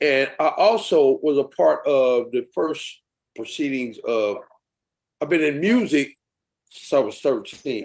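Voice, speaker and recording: This man has an ordinary speaking voice with a fairly high pitch. He talks at a fairly slow pace with lively intonation. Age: 60s. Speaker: music veteran. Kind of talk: casual chat.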